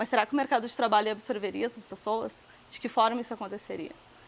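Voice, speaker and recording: A woman's fairly high voice at a very fast pace, with fairly even intonation and big swings in loudness. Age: 20s. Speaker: sex worker and activist. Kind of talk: interview.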